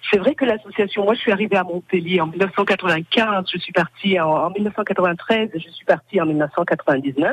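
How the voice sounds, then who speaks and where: A woman speaks in a normal speaking voice at medium pitch, fairly slowly and with hardly any pauses, with ordinary pitch variation. Her loudness swings widely, and the sound is dry and close with no echo. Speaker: association member. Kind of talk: radio interview.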